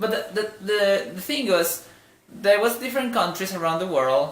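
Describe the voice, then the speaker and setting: A man with a non-native accent at a moderate pace, amid audible room echo and noticeable background noise. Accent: noticeable foreign. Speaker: vlogger. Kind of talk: casual vlog monologue. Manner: halting, with many fillers and restarts.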